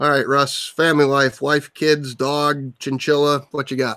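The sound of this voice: Fairly slow and with little pitch movement, the man has a clear, smooth, fairly bright tone. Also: medium pitch for a man.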